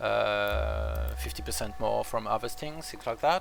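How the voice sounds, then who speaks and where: With music in the background, a man speaks at a moderate pace in a French accent. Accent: French accent, usually easily identified. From France. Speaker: strategy game streamer. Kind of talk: casual gameplay commentary. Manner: hesitant, many fillers.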